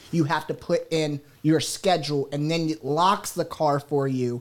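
This man has a plain, everyday voice, fairly high in pitch, and speaks at a moderate pace. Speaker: radio co-host. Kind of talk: casual radio show chat. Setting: radio studio.

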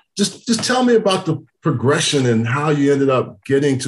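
A man with an American accent, somewhat breathy, at a fairly quick pace. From Texas. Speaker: podcast host, former NFL player. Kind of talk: casual interview chat.

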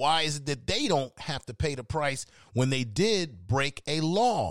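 A man with an unremarkable speaking voice has a fairly high pitch and lively intonation. The sound is dry and close, with no echo. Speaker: podcast host. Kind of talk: heated debate. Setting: live stream with chat room.

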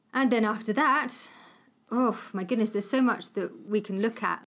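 A woman speaks at a moderate pace with vocal fry. The recording is very clean, with a silent background. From Cornwall, England. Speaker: entomologist. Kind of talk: casual interview. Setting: host's home.

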